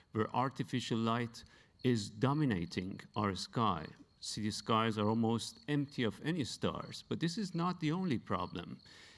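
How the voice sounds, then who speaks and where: The voice moves at a moderate pace and swings very widely in pitch. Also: man. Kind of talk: presentation talk. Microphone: handheld.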